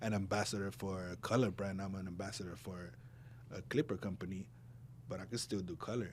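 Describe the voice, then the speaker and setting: A man with a Spanish accent speaks at a moderate pace in a somewhat breathy voice, on a very clean recording with a silent background. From Puerto Rico and New Jersey. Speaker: barber. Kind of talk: casual chat.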